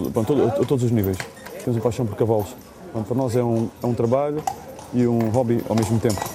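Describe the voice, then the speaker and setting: Over noticeable background noise, a man with a medium pitch and fairly even intonation talks at a very fast pace broken by long, frequent pauses. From Portugal. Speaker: tour guide. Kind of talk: tour commentary and interview.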